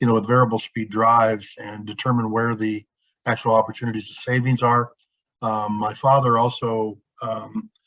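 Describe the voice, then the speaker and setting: A man at medium pitch and moderate pace, monotone and flat in intonation, over a quiet background. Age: 60s. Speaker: electric motor and drives engineer. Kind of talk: webinar presentation. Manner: hesitant with many fillers.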